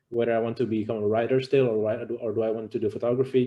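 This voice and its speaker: Speaking at a very fast pace, a man with a non-native accent keeps a medium pitch and a monotone, flat intonation. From Canada. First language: not English. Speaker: university alumnus panelist. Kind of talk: panel discussion. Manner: halting.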